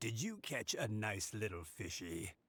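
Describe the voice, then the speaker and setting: A man puts on a character voice at a fairly low pitch. He talks at a moderate pace. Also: ordinary pitch variation. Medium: video game. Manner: warm, chuckling.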